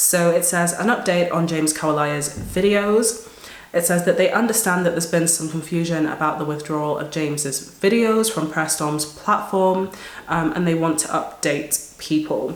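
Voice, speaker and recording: A woman's fairly low voice at a moderate pace, with ordinary pitch variation over noticeable background noise. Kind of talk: casual talk to camera.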